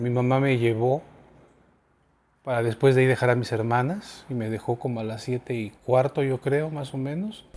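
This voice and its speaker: At a moderate pace, a man speaks in a normal speaking voice with medium pitch and ordinary pitch variation. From Mexico City. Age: 50s. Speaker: earthquake survivor interviewee. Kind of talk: interview testimony.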